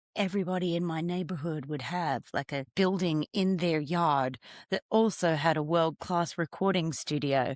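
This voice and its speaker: With an Australian accent, a woman with a fairly low pitch and ordinary pitch variation speaks at a moderate pace in a very clean recording with a silent background and a dry, close sound with no echo. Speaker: singer-songwriter. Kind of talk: interview conversation. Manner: halting.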